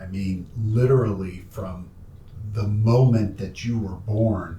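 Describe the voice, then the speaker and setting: Somewhat breathy with a dark, mellow tone, the voice keeps a fairly even intonation amid audible room echo. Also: man. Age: 60s. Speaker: documentary filmmaker interviewing his father. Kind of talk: family interview conversation. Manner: halting.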